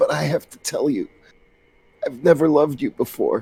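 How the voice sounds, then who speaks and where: The speaker is a man doing a put-on character voice. It sounds raspy and moves at a moderate pace. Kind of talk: comic overacting. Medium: read story.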